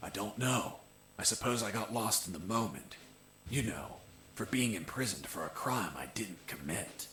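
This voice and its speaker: Over clear background noise, a man in a put-on character voice speaks at medium pitch with lively intonation. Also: moderate pace. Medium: video game. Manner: dry, deadpan.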